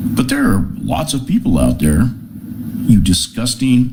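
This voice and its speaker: You can hear a man talking. The recording carries noticeable background noise and audible room echo. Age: 60s. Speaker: political commentary vlogger. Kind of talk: angry monologue rant. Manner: heated, animated.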